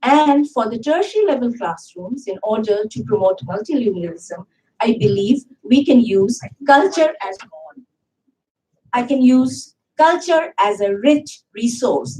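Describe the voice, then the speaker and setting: A woman speaks with a Bengali accent at a high pitch in a dark, mellow tone. Her pace is fairly slow, with very wide pitch swings. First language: Bangla. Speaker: university English teacher. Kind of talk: conference panel talk. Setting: conference hall with audience. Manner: formal.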